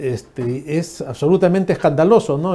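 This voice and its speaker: With a moderate pace and ordinary pitch variation, the speech carries a dark, mellow tone. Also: man. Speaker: TV news host. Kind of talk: political interview.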